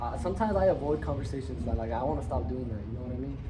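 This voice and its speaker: A man races along at a very fast pace, with audible room echo and noticeable background noise around him. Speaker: podcast host. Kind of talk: casual chat. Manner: halting, repeats words.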